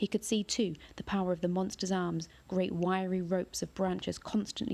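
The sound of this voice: An unforced reading voice of fairly even intonation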